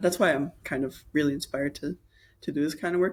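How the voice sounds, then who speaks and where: A man speaks at a fairly quick pace with a fairly high pitch. His intonation is fairly even. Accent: Maritime Canadian. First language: Mi'kmaq. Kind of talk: interview. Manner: halting.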